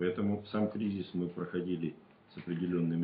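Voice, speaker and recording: A man speaks with fairly even intonation at a moderate pace, light background noise underneath. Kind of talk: interview answer. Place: meeting room.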